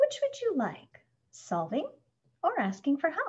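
A woman uses a put-on character voice pitched high. Her pitch swings very widely as she speaks at a fairly slow pace.

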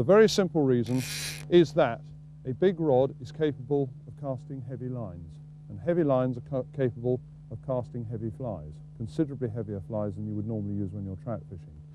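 A man's dark, mellow voice comes through over noticeable background noise, with a dry sound and no echo. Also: fairly quick pace. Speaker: fishing casting instructor. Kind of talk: tutorial. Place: waterside.

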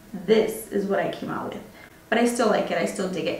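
A woman talks at a very fast pace. Light background noise and audible room echo surround her voice. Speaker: beauty vlogger. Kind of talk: tutorial. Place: home room.

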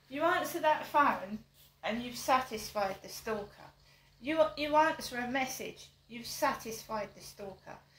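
There is audible room echo as a woman speaks at a fairly slow pace in a high pitch. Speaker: vlogger. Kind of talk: casual vlog chat. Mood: aggrieved, complaining. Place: home room. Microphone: camera far.

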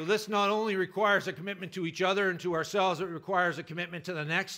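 A man's voice with a bright, sharp tone sounds over a quiet background. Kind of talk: political speech. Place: hall. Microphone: podium.

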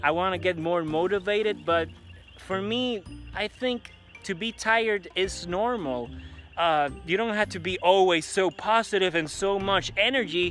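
Raising and projecting his voice, a man speaks at a fairly slow pace with ordinary pitch variation, the sound dry with no echo and faint music in the background. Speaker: vlogger. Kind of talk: casual vlog chat. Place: street. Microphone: phone near.

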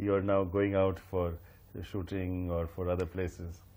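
On a very clean recording with a silent background, a man speaks at a moderate pace. His tone is dark and mellow. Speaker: interviewer. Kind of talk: interview.

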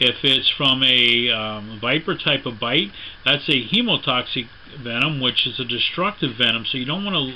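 Moderate-paced speech from a man, with light background noise. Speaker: snakebite first aid instructor. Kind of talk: tutorial. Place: home room. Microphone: camera far.

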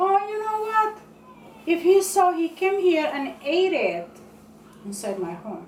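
A woman speaks at an extremely high pitch and a fairly slow pace. Audible room echo and light background noise surround her voice. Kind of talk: comedic skit monologue. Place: kitchen. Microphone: camera far.

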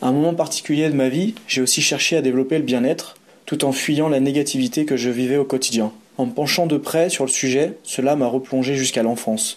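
An unremarkable speaking voice from a man, fairly high in pitch with ordinary pitch variation, at a fairly quick pace and very even loudness. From France, Savoie (Aix-les-Bains). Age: 30s. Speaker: boxing and self-defence practitioner, traveller. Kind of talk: first-person narrative read aloud.

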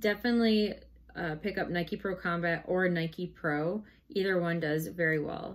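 A woman talks with a fairly low pitch. Her pace is moderate and her pitch varies in an ordinary way. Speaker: online reseller. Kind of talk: casual vlog chat. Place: home room. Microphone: camera far.

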